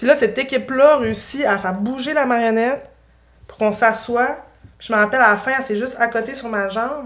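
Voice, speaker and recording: A woman with a Quebec accent, a fairly high pitch, ordinary pitch variation and a fairly quick pace. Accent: Québécois French. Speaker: puppeteer and improviser. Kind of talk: casual chat. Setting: studio.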